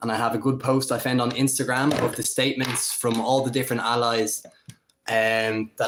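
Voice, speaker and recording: A man in an Irish accent, medium in pitch, flat and monotone, at a fairly quick pace. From Ireland. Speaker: political commentator. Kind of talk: solo livestream commentary. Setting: home livestream on camera. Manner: casual, freestyle with fillers.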